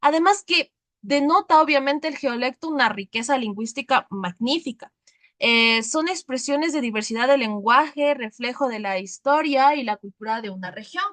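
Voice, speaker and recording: This woman has a high pitch and a highland Ecuadorian accent, with lively intonation at a moderate pace. The sound is dry and close, with no echo. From Ecuadorian highlands (Sierra). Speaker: teacher. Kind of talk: lecture.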